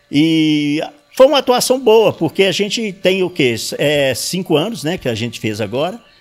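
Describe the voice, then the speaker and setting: With music in the background, a man speaks at a high pitch and a moderate pace, his pitch swinging very widely. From Sete Lagoas, Minas Gerais, Brazil. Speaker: retired auditor, civic watchdog president. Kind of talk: interview. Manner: halting. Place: home room. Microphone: handheld.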